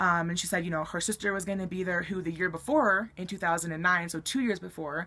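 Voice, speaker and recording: Bright and sharp in tone, the woman's voice sits fairly low. She talks at a fairly quick pace with fairly even intonation. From Colorado, US. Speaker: YouTuber. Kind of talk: storytelling vlog. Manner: casual, many fillers. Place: home room. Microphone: webcam.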